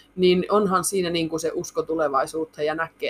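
A woman speaks at a fairly quick pace in a fairly low pitch. Noticeable background noise runs throughout. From Finnish Lapland, Muonio. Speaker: reindeer meat processing entrepreneur. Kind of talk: interview.

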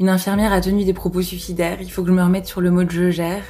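This woman talks very fast at a fairly low pitch. Her intonation is monotone and flat, over noticeable background noise. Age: 30s. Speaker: clinical psychologist. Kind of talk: audio diary. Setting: hospital. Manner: halting.

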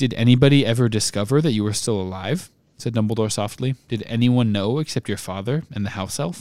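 A natural reading voice is heard. The pitch rises and falls in an ordinary way.

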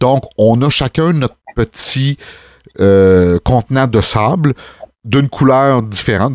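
In a Quebec accent, a man speaks at medium pitch with ordinary pitch variation, the sound dry and close with no echo. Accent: Québécois French. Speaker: wedding DJ and officiant, podcast host. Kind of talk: casual chat.

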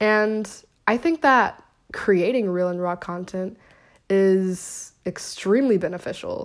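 At a slow pace, a woman with an American accent speaks at a medium pitch with ordinary pitch variation on a very clean recording with a silent background.

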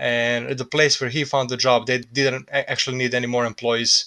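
Against a quiet background, a man with a Serbian accent speaks in a bright, sharp tone. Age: 20s. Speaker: immigrant worker. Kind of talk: casual interview.

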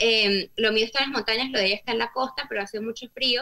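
A woman with a fairly high pitch talks with ordinary pitch variation in an unremarkable speaking voice. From Latin America. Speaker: podcast guest, wife of a co-guest. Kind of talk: casual chat.

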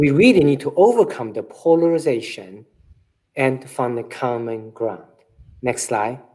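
A man with a Chinese accent, a dark, mellow tone and lively intonation, at a moderate pace. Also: medium pitch for a man. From China. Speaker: eye surgeon. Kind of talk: slide presentation and interview. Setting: video call.

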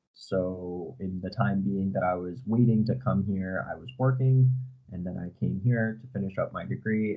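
Lively intonation carries this moderate-paced speech in a New England accent. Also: man. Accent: American (New England). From US, Connecticut. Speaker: university student. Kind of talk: interview.

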